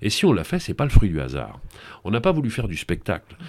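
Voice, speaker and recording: A man's voice with vocal fry on a very clean recording with a silent background. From Paris region (grew up in suburbs; born in Brittany). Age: 60s. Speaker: TV presenter. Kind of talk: interview.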